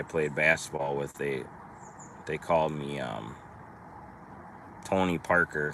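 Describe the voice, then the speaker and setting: A man with a strong Minnesotan accent speaks at a fairly slow pace with fairly even intonation, over noticeable background noise. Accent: thick Minnesota. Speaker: trucking business owner. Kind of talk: casual live stream chat. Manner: casual, rambling with hesitations.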